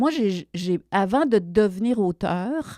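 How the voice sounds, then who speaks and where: A woman with a medium pitch and a dark, mellow tone speaks with lively intonation. The recording is very clean, dry and close, with no echo and a silent background. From Quebec, Abitibi. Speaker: television writer. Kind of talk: interview. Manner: halting, many hesitations.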